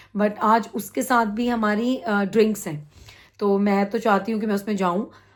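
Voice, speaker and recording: A woman talks at a moderate pace with a fairly high pitch. Her intonation is monotone and flat, and the recording is very clean with a silent background. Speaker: vlogger. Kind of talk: casual vlog talk.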